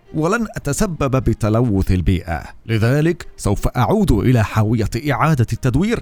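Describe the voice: Someone does plain reading aloud.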